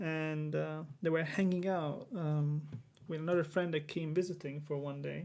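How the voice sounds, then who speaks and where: A man with a non-native accent and monotone, flat intonation. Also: fairly high pitch for a man, moderate pace. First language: not English. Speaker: vlogger. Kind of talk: unscripted monologue. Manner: halting, many fillers.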